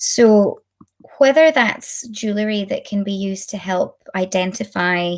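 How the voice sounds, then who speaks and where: At a very slow pace, a woman with a Scottish accent speaks at a medium pitch in a very clean recording with a silent background. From Scotland. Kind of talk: lecture. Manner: deliberately slow.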